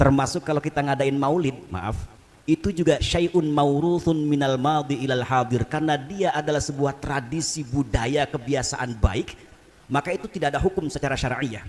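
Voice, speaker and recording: A man's fairly high voice moves at a moderate pace with ordinary pitch variation. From Jakarta area (Rawa Bokor, Betawi), long in East Java. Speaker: Islamic preacher. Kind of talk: sermon. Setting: prayer hall gathering with audience.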